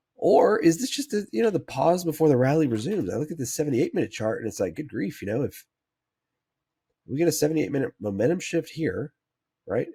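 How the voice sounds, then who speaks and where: Dark and mellow in tone, a man's fairly high voice shows vocal fry and very wide pitch swings. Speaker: stock trading analyst. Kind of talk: market analysis tutorial. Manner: hesitant with fillers.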